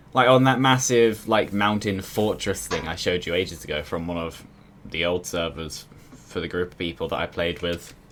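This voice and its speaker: Speaking at a moderate pace, a man with a very deep, low pitch shows ordinary pitch variation. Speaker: gaming streamer. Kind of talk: casual gameplay chat.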